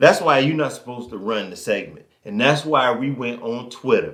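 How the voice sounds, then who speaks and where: This man has a Southern US accent. His voice sits at a medium pitch. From US South. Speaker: sports podcast co-host. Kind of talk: casual chat. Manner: animated.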